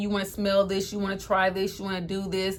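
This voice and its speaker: An animated tone at a very fast pace. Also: woman. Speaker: lifestyle vlogger. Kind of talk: storytime testimony. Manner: fast when excited.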